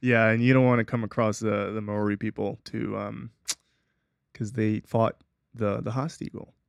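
In a normal speaking voice, a man with a fairly low pitch talks at a moderate pace with fairly even intonation and a dry, close sound with no echo. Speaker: podcast host. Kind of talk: casual banter podcast. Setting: studio with video camera. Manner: joking, playful.

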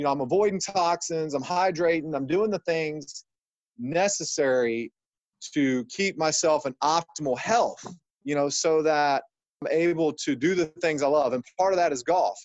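An unremarkable speaking voice: a man with an American accent, fairly high pitch, ordinary pitch variation and a moderate pace. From Ohio, US Midwest. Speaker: chiropractor. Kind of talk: interview.

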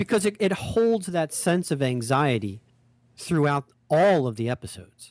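With a dry, close sound and no echo, a man talks at a moderate pace in a fairly high pitch with very wide pitch swings. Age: 50s. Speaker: podcast co-host. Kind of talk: casual chat. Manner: halting.

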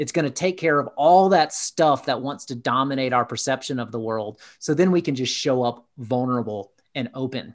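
With an ordinary speaking voice, a man of medium pitch talks at a moderate pace with ordinary pitch variation and hardly any pauses on a very clean recording with a silent background. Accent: American. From US South, Atlanta, Georgia. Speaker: executive coach. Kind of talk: interview conversation.

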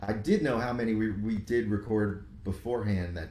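A somewhat breathy man's voice with a dark, mellow tone and audible room echo. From New York, Rockland County suburbs. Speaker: musician. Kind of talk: casual chat.

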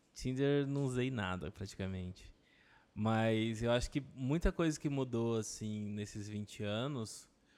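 In a very clean recording with a silent background, a man speaks at a fairly slow pace in an ordinary speaking voice, at a medium pitch with ordinary pitch variation. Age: 20s. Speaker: advertising professional. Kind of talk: casual chat.

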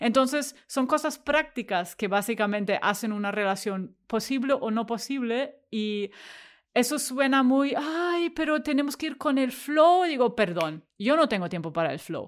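On a very clean recording with a silent background, a woman with a high pitch talks fairly slowly, her pitch swinging very widely. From Germany. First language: German (speaking Spanish). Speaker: tech worker. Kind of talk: interview. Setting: at home.

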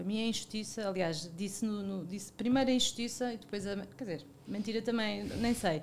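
A medium-pitched woman at a fairly quick pace with hardly any pauses and ordinary pitch variation, over noticeable background noise. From Portugal, Algarve (Lagos). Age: 40s. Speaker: media marketing and talent manager. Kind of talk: casual interview. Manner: halting, many repetitions and fillers.

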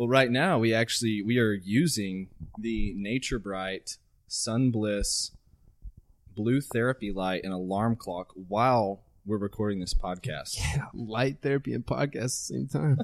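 In an American accent, a man at medium pitch talks at a fairly slow pace with ordinary pitch variation. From Central Texas. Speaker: fitness podcast co-host. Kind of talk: casual chat.

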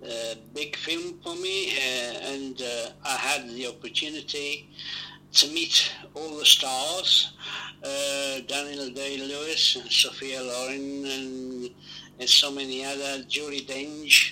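Over noticeable background noise, a man with an Italian accent speaks very slowly at a fairly high pitch, with monotone, flat intonation and big swings in loudness. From Italy. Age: 70s. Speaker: actor. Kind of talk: interview.

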